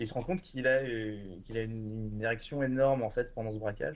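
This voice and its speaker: In a normal speaking voice, a man talks at a medium pitch with ordinary pitch variation. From France, Bordeaux. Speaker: streaming platform programmer. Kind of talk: casual chat.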